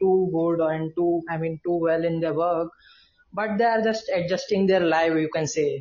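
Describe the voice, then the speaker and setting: This man has a high pitch and an Indian accent. His intonation is fairly even. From India, Indore, Madhya Pradesh. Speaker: guest from abroad. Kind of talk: casual chat. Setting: video call. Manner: halting.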